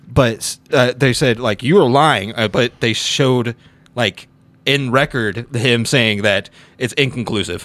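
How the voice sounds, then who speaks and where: With an unremarkable speaking voice, this man sits at a medium pitch. His delivery is fairly slow, and his pitch varies in an ordinary way. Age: 30s. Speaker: podcast co-host. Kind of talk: casual chat.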